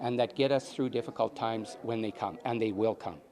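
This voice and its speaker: The speaker is a man. He talks with a Canadian prairie accent. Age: 60s. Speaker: election candidate, farmer. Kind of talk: interview.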